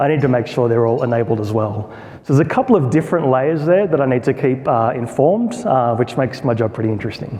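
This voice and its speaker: A man's medium-pitched voice in an Australian accent at a very fast pace, with ordinary pitch variation, noticeable background noise and audible room echo. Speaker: product marketer. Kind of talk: conference talk. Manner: conversational, informal.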